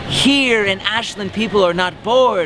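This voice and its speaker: A man speaks with music playing in the background. The sound is dry, with no echo. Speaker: costumed parade-goer answering a street interview. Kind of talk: rhyming street interview answer. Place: street.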